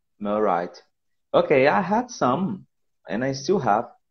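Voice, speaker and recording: A man talks in a fairly high pitch with a Portuguese accent. His pitch swings very widely. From Brazil, Pernambuco. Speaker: English teacher. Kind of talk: casual interview. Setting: phone call. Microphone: bad connection, cracking.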